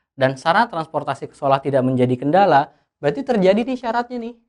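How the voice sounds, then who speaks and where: His pitch moves across a very wide range. The man's voice is high and his pace fairly quick. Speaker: tutor. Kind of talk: tutorial. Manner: loud; halting.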